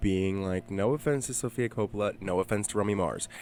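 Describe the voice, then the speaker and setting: Fairly low male speech at a fairly quick pace, music playing behind it. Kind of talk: casual podcast conversation.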